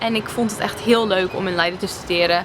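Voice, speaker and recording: A woman talks at a fairly quick pace with ordinary pitch variation, while noticeable background noise is present. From Netherlands. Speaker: vlogger. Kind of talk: casual Q&A vlog. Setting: outdoors by a harbour.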